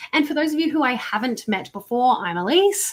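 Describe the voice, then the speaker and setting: A woman at a moderate pace with lively intonation, over noticeable background noise. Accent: Australian. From Australia. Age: 30s. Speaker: marketing coach. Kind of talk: live online workshop. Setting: livestream. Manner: animated.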